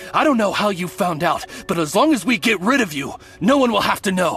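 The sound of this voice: Using a put-on character voice, a woman speaks at a medium pitch and a fairly quick pace, with big pitch swings, a fairly bright tone, a husky, rough edge and faint music in the background.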